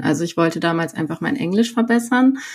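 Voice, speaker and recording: A woman is speaking. Her intonation is lively. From Sauerland, North Rhine-Westphalia, Germany. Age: 30s. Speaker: coach. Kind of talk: personal interview.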